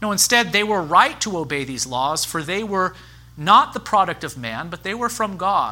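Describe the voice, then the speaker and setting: A man's bright, sharp tone with vocal fry. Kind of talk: sermon. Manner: fast.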